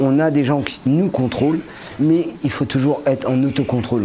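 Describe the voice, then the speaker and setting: Noticeable background noise surrounds a man whose fairly high voice moves at a moderate pace. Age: 50s. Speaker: factory line operator. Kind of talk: interview.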